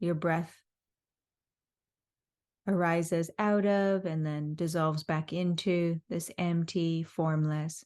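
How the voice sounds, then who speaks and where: A woman talks at a very slow pace. Her pitch is fairly low, and the background is quiet. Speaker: guided meditation teacher. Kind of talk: guided meditation. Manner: slow, calm, soothing.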